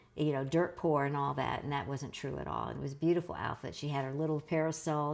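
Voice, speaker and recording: With a Southern US accent, a woman speaks at a fairly quick pace in a very deep, low voice with vocal fry. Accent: Southern American. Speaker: author and family historian. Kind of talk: interview answer.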